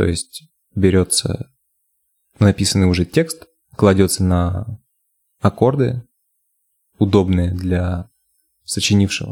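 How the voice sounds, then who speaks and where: Very slow and very deep in pitch, a man speaks in a somewhat breathy voice with a dark, mellow tone and ordinary pitch variation. The sound is dry and close with no echo, and he pauses long and often. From Russia, Yamalo-Nenets region (Nadym). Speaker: bass player and singer. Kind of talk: casual interview.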